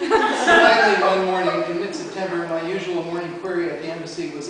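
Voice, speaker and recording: A man speaks at a fairly quick pace with hardly any pauses, over noticeable background noise. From US Northeast, New Jersey. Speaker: folklore professor. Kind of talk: award acceptance speech. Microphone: poor audio quality.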